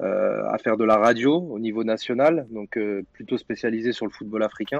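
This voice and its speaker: A man talks at a moderate pace in a normal speaking voice with a medium pitch. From Paris region (Saint-Denis). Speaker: football media co-founder. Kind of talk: podcast interview and debate.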